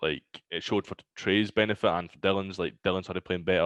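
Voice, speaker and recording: Very fast speech in a dry, close sound with no echo and a quiet background. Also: man. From Scotland, Glasgow. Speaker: pro esports player. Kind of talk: casual chat. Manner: not a loud person.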